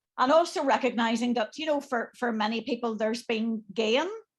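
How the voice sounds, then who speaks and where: Against a quiet background, a woman with an Irish accent speaks at a fairly high pitch. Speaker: bishop. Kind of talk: panel discussion.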